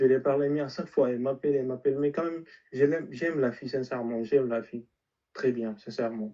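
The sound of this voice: Fast pace from a man at medium pitch, dark, mellow tone and fairly even intonation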